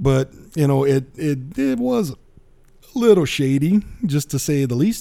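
With an American accent, the speaker has a dark, mellow tone and lively intonation, going at a fairly slow pace with long, frequent pauses. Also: man, fairly high pitch for a man. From South Louisiana. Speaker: tech podcast host. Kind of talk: casual solo podcast news roundup. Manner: animated.

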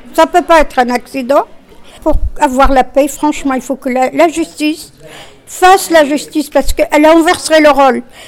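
High-pitched speech from a woman at a moderate pace, ordinary pitch variation, noticeable background noise. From Tunisia. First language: Arabic (speaking French). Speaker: discussion group participant. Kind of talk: group discussion.

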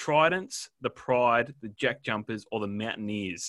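The intonation is lively and the tone bright and sharp. It moves at a moderate pace, with a dry, close sound and no echo. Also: man. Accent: Australian. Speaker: podcast co-host. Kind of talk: casual chat. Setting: remote recording, internet issues.

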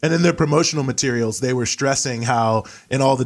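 A man at medium pitch with an American accent, going at a very fast pace. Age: 30s. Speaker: author and activist. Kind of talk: political discussion.

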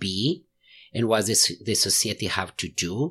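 The very clean recording with a silent background captures a man whose pitch varies in an ordinary way. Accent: Mexican. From Mexico. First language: Spanish. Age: 40s. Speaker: lawyer. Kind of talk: casual interview. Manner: halting.

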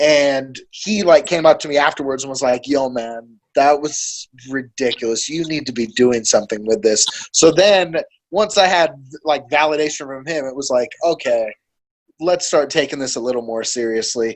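Using a plain, everyday voice with an American accent, a man talks at a moderate pace and fairly high pitch with ordinary pitch variation. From Monterey, California. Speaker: battle rapper and professional poker player. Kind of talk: casual chat.

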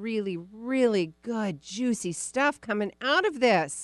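Speaking at a moderate pace with lively intonation, a woman has an unremarkable speaking voice, recorded with a dry, close sound with no echo against a quiet background. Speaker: radio host. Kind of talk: casual interview.

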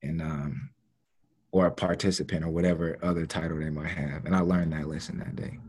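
Very deep and low with vocal fry, a man's voice moves at a fairly quick pace with ordinary pitch variation. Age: 30s. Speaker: youth worker. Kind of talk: casual chat.

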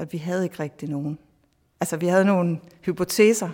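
A very clean recording with a silent background, moderate pacing, and ordinary pitch variation. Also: woman. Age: 40s. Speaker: professor. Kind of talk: interview. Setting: outdoors in a garden.

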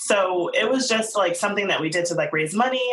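A woman speaks at a very fast pace in a medium pitch with ordinary pitch variation, and audible room echo surrounds her voice. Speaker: bakery owner. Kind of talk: interview.

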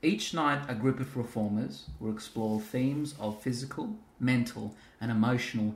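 At a fairly slow pace, a man talks in a normal speaking voice at a medium pitch with ordinary pitch variation. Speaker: podcast host. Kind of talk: casual interview. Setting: at guest's home.

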